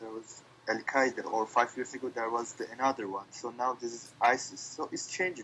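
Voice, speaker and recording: A man with a non-native accent and medium pitch talks at a fairly quick pace with fairly even intonation. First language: Turkish. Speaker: interviewee. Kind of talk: casual interview. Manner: halting.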